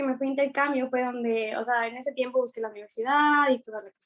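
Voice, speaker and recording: A woman talks at a very fast pace in a high pitch. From Ecuador. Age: 20s. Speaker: dancer. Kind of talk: interview.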